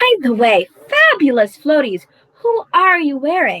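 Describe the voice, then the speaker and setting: This put-on character voice sits high in pitch with very wide pitch swings. It moves at a fairly slow pace. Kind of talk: comic pirate speech. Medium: audio drama. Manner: theatrical pirate talk.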